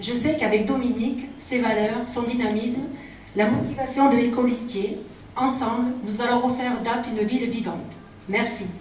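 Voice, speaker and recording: Speaking at a fairly slow pace, a high-pitched woman is heard with audible room echo and noticeable background noise. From Provence, France (Apt). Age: 40s. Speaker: local election candidate. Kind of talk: campaign speech. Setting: public meeting.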